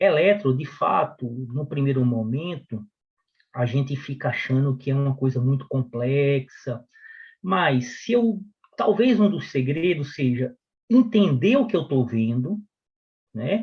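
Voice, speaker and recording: Fairly high, somewhat breathy male voice with lively intonation, a fairly slow pace and long, frequent pauses. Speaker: physician and medical professor. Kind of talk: lecture.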